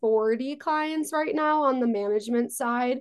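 A woman speaks in a high voice with an American accent. Her pitch rises and falls in an ordinary way against a quiet background. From New York, Long Island. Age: 20s. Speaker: talent management founder. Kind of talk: interview.

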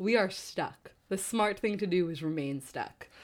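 A woman's plain, everyday voice with an American accent, lively intonation and a moderate pace, in a very clean recording over a silent background. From New Jersey. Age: 20s. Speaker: podcast co-host, Broadway dresser. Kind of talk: casual chat. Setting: home.

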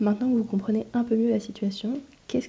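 A woman speaks somewhat breathily with fairly even intonation. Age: 20s. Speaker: master's student in genetics, podcaster. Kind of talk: casual solo podcast, diary-style monologue.

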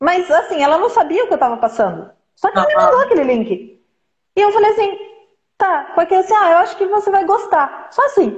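A woman's extremely high voice with very wide pitch swings, very even loudness and a fairly quick pace. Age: 40s. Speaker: therapist. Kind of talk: casual chat. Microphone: unstable connection, video freezing.

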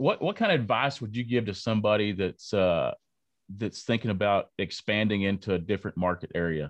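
With a West Texas accent, a man talks at a fairly quick pace in a fairly low pitch with ordinary pitch variation. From Lubbock, Texas. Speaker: podcast host. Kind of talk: interview. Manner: halting, many fillers.

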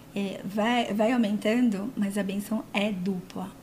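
With a São Paulo accent, a woman talks in a fairly high pitch. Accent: paulistano Brazilian Portuguese. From São Paulo city, Brazil. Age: 40s. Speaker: body piercer and physiotherapist. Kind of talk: casual chat. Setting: studio.

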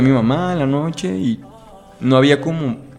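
A man with a Jalisco accent, medium pitch and lively intonation, music in the background. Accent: Mexican Spanish, Jalisco. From Mexico, Guadalajara (Jalisco). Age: 20s. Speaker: law student. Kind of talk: interview.

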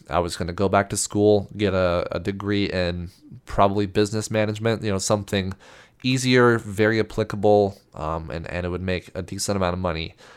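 In an American accent, a man speaks fairly quickly at a fairly low pitch. His intonation stays fairly even. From US Southwest (central New Mexico). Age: 20s. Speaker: photographer and podcast host. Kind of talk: casual solo monologue. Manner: halting, many fillers and repetitions.

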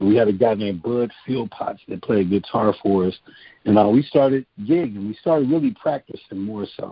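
A plain, everyday voice, a man's, fairly low-pitched, with an American accent, a moderate pace and ordinary pitch variation. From Cleveland, Ohio. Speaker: songwriter and singer. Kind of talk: interview.

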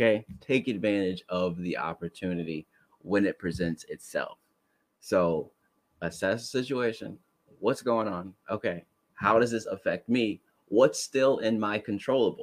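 A man speaks at a fairly slow pace in an animated tone. The sound is dry and close, with no echo. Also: fairly low pitch for a man, ordinary pitch variation. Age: 20s. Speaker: podcast host. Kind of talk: casual chat.

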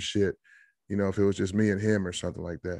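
In a very clean recording with a silent background, a man with an American accent speaks in a fairly low pitch and a monotone, flat intonation, the sound dry and close with no echo. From US Midwest, Iowa (Des Moines). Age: 30s. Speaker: stand-up comedian. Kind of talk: casual chat.

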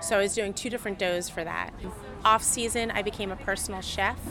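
Talking at a fairly quick pace with fairly even intonation, a woman at medium pitch speaks with an American accent over noticeable background noise. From Philadelphia, US. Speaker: chef and pizza maker. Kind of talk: casual interview chat. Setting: restaurant kitchen and patio.

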